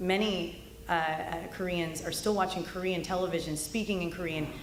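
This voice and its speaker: Against audible room echo and noticeable background noise, a woman speaks with fairly even intonation. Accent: American. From California. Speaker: political speaker. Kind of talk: political speech.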